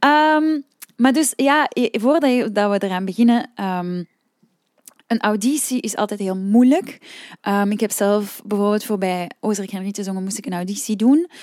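A woman speaks with a Flemish accent and lively intonation. Her fairly high voice moves at a fairly slow pace. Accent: Flemish Dutch. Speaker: singing teacher and podcast host. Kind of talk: solo podcast talk. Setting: room with open windows. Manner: calm, relaxed.

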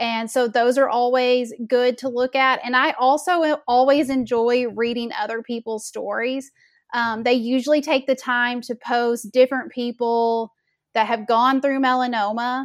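A woman with a Southern US accent speaks fairly slowly in a high, monotone, flat voice. The recording is very clean, with a silent background. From Arkansas, US South. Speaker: melanoma awareness founder, boutique owner. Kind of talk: casual interview chat. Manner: slow talker.

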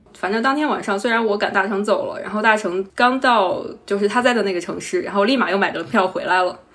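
A woman talks at a very fast pace with hardly any pauses. Her pitch is fairly high with ordinary variation, and there is noticeable background noise. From Henan, China. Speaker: carpenter, former civil servant. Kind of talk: interview.

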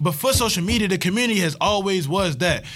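With music in the background, a man with an American accent speaks at a high pitch. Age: 20s. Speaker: podcast host. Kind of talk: casual chat.

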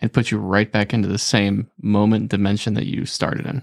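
At a fairly quick pace, a man talks in an ordinary speaking voice. His pitch is medium. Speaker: podcast guest. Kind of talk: casual banter. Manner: joking, talkative.

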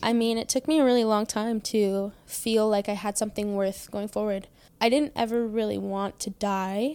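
Spoken at a moderate pace with a Canadian accent and a dark, mellow tone. The recording is very clean, with a silent background. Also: woman. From British Columbia, Canada. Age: 20s. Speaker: assault survivor. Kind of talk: personal testimony interview. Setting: host's home.

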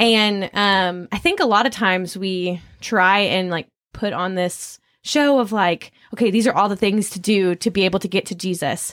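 A woman with a normal speaking voice talks at a moderate pace and medium pitch, her intonation fairly even, on a very clean recording with a silent background. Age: 20s. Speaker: student ministry worker. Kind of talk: casual panel discussion.

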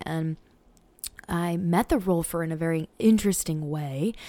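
At a moderate pace, a woman with an American accent speaks in a dark, mellow tone at a fairly low pitch with fairly even intonation. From US Northeast, Portland, Maine. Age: 30s. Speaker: podcast host and intuitive psychic medium. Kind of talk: unscripted personal monologue.

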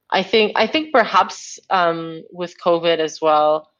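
A woman is talking. Her voice sits fairly low in pitch. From Greece. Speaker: tech journalist. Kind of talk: interview.

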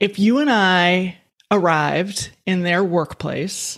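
This woman has an ordinary speaking voice at a medium pitch with ordinary pitch variation. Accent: American. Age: 50s. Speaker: futurist and economist. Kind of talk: interview.

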